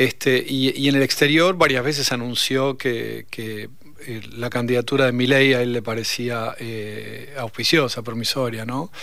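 With fairly even intonation and a medium pitch, a man uses a normal speaking voice at a fairly slow pace. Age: 50s. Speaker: sociologist, professor. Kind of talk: radio interview. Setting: radio studio.

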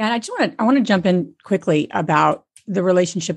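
Against a quiet background, a woman with a normal speaking voice talks at a fairly quick pace, her pitch varying in an ordinary way. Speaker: co-founder of a real estate community and podcast. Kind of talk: interview about real estate.

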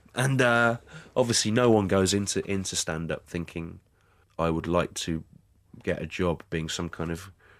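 Speaking at a fairly slow pace with ordinary pitch variation, a man with an English accent is heard on a very clean recording with a silent background. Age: 40s. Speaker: stand-up comedian. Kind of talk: interview. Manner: hesitant, many fillers.

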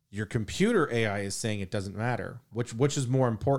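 With a normal speaking voice, a man talks at a fairly quick pace and medium pitch with ordinary pitch variation on a very clean recording with a silent background. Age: 50s. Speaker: podcast co-host. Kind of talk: casual chat.

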